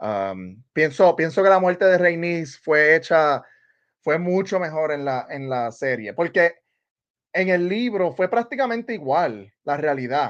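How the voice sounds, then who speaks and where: Over a quiet background, a man talks with a Puerto Rican accent at a moderate pace. His pitch is fairly high and his intonation lively. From Puerto Rico. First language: Spanish. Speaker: TV show podcaster. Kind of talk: live stream chat. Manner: casual, halting with fillers.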